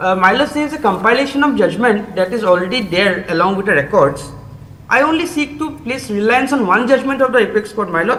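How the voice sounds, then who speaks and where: Fairly quick speech with a Bengali accent against noticeable background noise. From Assam, India. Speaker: accused arguing own bail plea. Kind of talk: court submission. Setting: video link to court. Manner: formal.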